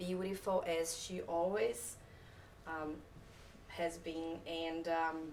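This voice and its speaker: A woman with a non-native accent speaks very slowly at a fairly low pitch, in a monotone, flat delivery. Room echo is audible and background noise is noticeable. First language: not English. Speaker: photographer. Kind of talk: talk to a live audience. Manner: hesitant, many fillers.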